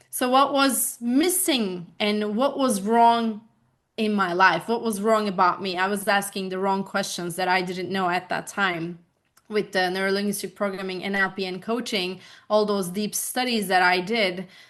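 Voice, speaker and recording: A woman's medium-pitched voice with a Turkish accent, ordinary pitch variation and a moderate pace. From Turkey, Bursa. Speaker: life coach. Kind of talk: interview conversation.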